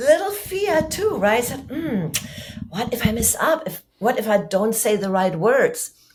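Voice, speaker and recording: A woman with a German accent speaks at a fairly slow pace, her fairly high voice moving through very wide pitch swings. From Germany. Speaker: public speaking coach. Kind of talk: podcast interview.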